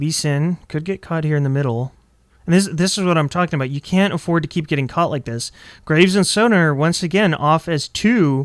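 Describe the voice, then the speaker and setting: At a fairly high pitch and a fairly quick pace, a man talks with ordinary pitch variation in a dry, close sound with no echo, a very clean recording with a silent background. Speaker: esports shoutcaster. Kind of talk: video game color commentary. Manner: energetic, lively.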